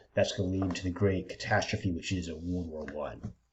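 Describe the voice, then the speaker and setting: This man's voice is somewhat breathy, and his intonation stays fairly even. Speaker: history lecturer. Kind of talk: lecture. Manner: halting, with frequent fillers.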